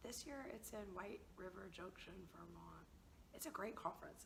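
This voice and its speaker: Through audible room echo, a woman speaks at a moderate pace with long, frequent pauses. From US South, Georgia (rural). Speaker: language teacher, founder of a teaching project. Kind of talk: interview. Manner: casual.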